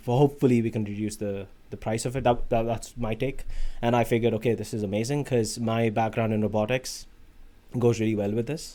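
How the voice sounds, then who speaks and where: A man with an Indian accent talks at a fairly quick pace in a dark, mellow tone, his medium-pitched voice staying monotone and flat. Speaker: automation engineer on an industry research placement. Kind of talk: podcast interview. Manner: halting, with many fillers and restarts.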